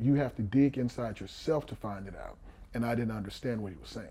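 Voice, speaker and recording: Somewhat breathy and dark, mellow in tone, a man with an American accent speaks at a medium pitch with ordinary pitch variation. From Houston, Texas. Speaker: former pro football player and coach. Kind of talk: interview conversation.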